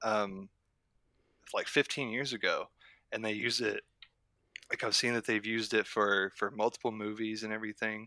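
A man with an American accent speaks in a fairly low, monotone, flat voice with a bright, sharp tone at a moderate pace, leaving long, frequent pauses. The sound is dry and close with no echo, on a very clean recording with a silent background. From southern Oklahoma, near Lawton. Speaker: urban explorer and YouTuber. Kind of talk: casual interview chat. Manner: hesitant, many ums.

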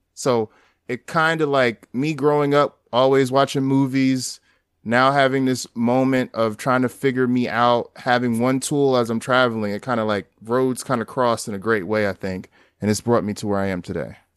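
Against a quiet background, a man speaks at a moderate pace in an unremarkable speaking voice of medium pitch with ordinary pitch variation. The sound is dry and close, with no echo. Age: 30s. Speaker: documentary photographer. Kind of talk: casual interview.

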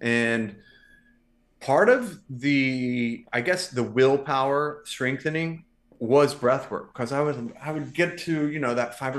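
An ordinary speaking voice, a man at medium pitch with ordinary pitch variation, over a quiet background. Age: 40s. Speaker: male model and podcaster. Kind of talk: casual chat.

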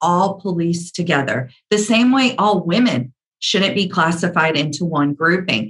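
Music plays in the background as a woman with an American accent speaks at a fairly slow pace, with very wide pitch swings and very even loudness. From US Deep South. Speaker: media executive. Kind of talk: interview conversation.

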